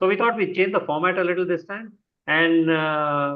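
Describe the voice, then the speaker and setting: The speaker is a man with a high pitch. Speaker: service club member hosting an online meeting. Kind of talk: welcome address in an online meeting. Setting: video call, live streamed. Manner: halting, many filler sounds.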